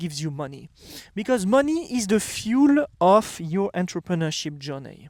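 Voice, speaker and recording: A high-pitched man with a French accent, very wide pitch swings and a moderate pace. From France. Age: 30s. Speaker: entrepreneur and vlogger. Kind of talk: casual vlog monologue. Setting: outdoors. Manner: halting, with fillers and restarts.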